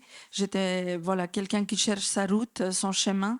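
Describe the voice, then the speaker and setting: On a very clean recording with a silent background, the speaker goes at a fairly slow pace in a Macedonian accent. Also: woman. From North Macedonia. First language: Macedonian (speaking French). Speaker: association director. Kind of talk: conference talk. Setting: conference with audience. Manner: hesitant, many fillers.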